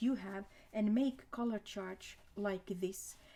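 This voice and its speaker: Speaking at a fairly slow pace, a woman uses a fairly high pitch, a dark, mellow tone and ordinary pitch variation. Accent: non-native. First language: not English. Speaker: art tutor. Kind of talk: tutorial. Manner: halting.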